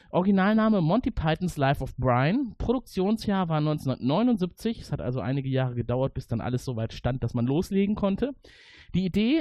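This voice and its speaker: Very wide pitch swings from a man, his voice fairly high and his pace moderate. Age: 40s. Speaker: podcast host. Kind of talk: casual chat.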